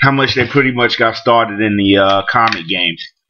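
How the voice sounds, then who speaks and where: A man speaks with a New York accent. His tone is bright and sharp, with ordinary pitch variation. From Brooklyn, New York. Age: 40s. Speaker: comic book collector vlogger. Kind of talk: casual vlog monologue. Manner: halting, many fillers.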